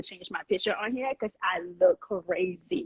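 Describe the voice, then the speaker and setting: A woman talks with a slight Liberian accent. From Liberia (Monrovia), moved to US at 8. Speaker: chef and restaurant owner. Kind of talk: podcast interview. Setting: Instagram live.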